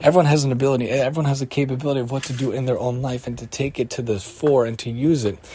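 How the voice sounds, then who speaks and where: The speech runs at a very fast pace with hardly any pauses and fairly even intonation, over noticeable background noise. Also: man, medium pitch for a man. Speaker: podcast host teaching weekly Torah portion. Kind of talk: religious teaching monologue.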